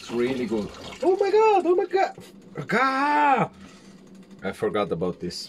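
Fairly slow delivery with long, frequent pauses over light background noise. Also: man. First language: not English. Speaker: YouTuber making a cooking video. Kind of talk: casual vlog tutorial. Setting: home kitchen. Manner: hesitant, many fillers. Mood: playful, amused. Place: kitchen. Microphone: phone near.

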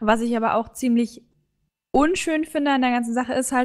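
A very clean recording has a silent background. The speech moves at a moderate pace, its pitch varying in an ordinary way. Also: woman. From Bavaria, Germany. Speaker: student and streamer. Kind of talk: casual chat.

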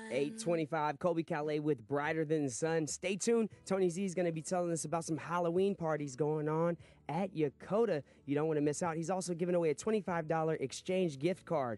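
An upbeat, energetic man speaks with fairly high pitch and ordinary pitch variation. Faint music sits in the background, and the sound is dry with no echo. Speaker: radio host. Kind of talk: radio DJ patter. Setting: radio studio. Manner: upbeat, energetic, rapid-fire DJ banter. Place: studio.

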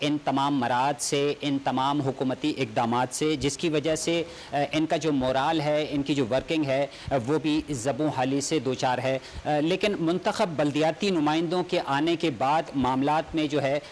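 A man's voice with very even loudness and fairly even intonation, over light background noise. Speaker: tv news host. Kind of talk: news program presentation. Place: office. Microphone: handheld.

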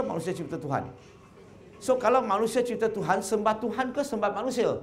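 Talking at a fairly quick pace, a man sounds animated, his high voice showing ordinary pitch variation. Light background noise can be heard. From Malacca, Malaysia; Malaysia. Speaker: convert preacher; speaker. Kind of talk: religious talk to audience. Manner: animated, questioning audience. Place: hall. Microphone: lapel.

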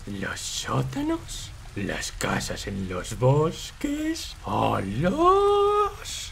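With clear background noise behind him, a man puts on a character voice and speaks very slowly. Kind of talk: comedic parody dub. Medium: dub.

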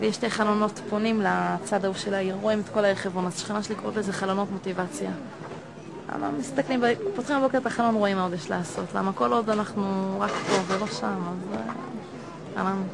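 Background noise is noticeable, and the sound is dry with no echo. A woman talks at a fairly quick pace. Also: ordinary pitch variation. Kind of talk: interview answer. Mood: cheerful, proud. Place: street. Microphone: camera far.

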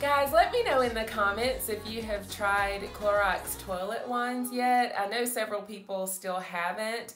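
A woman speaking at a fairly slow pace with ordinary pitch variation, music in the background. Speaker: home cleaning vlogger. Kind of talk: voice-over narration of a clean-with-me vlog.

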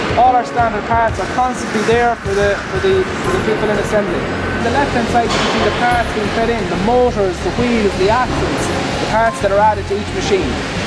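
A man talking at a fairly quick pace, with music in the background. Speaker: factory tour guide. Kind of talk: guided tour explanation. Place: factory. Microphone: camera far.

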